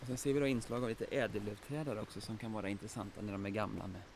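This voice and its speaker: Audible room echo surrounds a man speaking at a very fast pace. His pitch is medium and his intonation fairly even. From Västergötland, Sweden. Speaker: forest biologist. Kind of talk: guided nature walk explanation. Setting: outdoors in forest.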